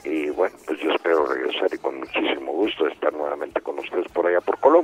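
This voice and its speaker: A man talking at a very fast pace with hardly any pauses, over noticeable background noise. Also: dry, close sound with no echo. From Mexico. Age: 70s. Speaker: actor and voice actor. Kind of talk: interview.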